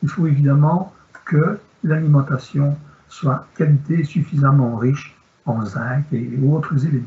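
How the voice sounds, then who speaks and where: A man's normal speaking voice, fairly high in pitch, at a fairly slow pace with ordinary pitch variation. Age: 60s. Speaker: sports medicine doctor. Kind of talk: Q&A answer; lecture.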